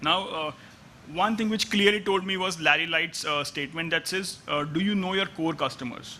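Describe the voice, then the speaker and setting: Pitched high, a man's voice shows ordinary pitch variation. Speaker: analytics executive. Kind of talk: conference talk. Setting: stage with audience. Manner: fast; halting.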